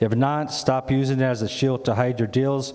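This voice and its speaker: At a moderate pace, a man talks with medium pitch amid noticeable background noise and audible room echo. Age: 70s. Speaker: community resident speaking at town hall. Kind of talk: public comment at town hall; reading a prepared statement aloud. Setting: town hall meeting with audience. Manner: halting with fillers.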